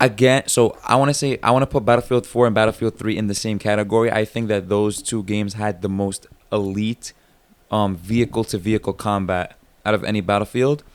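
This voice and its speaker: A man's fairly low voice at a fairly quick pace. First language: not English. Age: 20s. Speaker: gaming podcast host. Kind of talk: casual chat. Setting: late-night recording session. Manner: animated.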